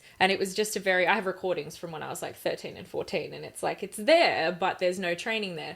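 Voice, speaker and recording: An Australian-accented woman talks at a very fast pace with hardly any pauses, her medium pitch and fairly even intonation set against big swings in loudness. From Australia, Gold Coast. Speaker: rock singer-songwriter. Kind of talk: interview conversation.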